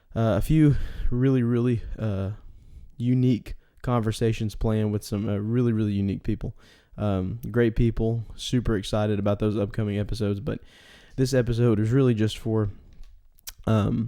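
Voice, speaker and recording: Recorded very cleanly against a silent background, a man in a Texan accent speaks at a moderate pace and medium pitch with fairly even intonation and long, frequent pauses. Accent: Texan Southern US. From East Texas, US. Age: 20s. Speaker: podcast host. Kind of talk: solo podcast monologue. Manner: halting, many fillers.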